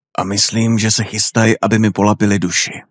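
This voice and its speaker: A man speaks in a normal speaking voice with a fairly low pitch and fairly even intonation. The sound is dry and close, with no echo. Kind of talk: horror audiobook reading, scripted narration of a Lovecraft story. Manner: slow, atmospheric, ominous narration with creeping dread.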